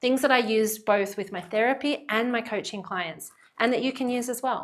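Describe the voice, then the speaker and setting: With an Australian accent, a woman speaks at a moderate pace in a fairly high pitch with ordinary pitch variation. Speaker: psychologist. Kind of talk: channel introduction. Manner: direct, earnest.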